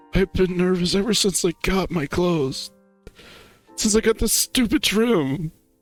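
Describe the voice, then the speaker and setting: A man uses a put-on character voice pitched high, speaking at a moderate pace with very even loudness, in a dry, close sound with no echo and faint music in the background. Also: ordinary pitch variation. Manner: upset, tearful.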